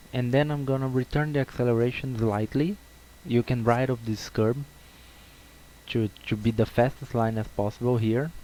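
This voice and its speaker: With a Brazilian accent, a man talks in a dark, mellow tone at medium pitch and with fairly even intonation. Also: moderate pace. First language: Portuguese. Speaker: sim racing video creator. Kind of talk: tutorial. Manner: halting, with repetitions.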